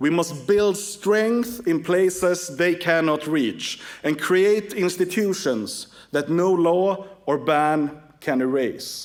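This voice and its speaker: A man with a Swedish accent talks at a very slow pace in a high pitch, with ordinary pitch variation. His loudness stays very even, and there is noticeable background noise. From Sweden. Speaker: political activist and organization chairman. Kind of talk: conference speech.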